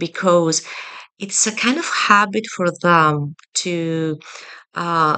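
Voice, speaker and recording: Speaking with a non-native accent, a woman with a fairly low pitch uses fairly even intonation and a bright, sharp tone. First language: not English. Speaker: Reiki energy healer. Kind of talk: personal video message to a client. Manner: halting, many fillers.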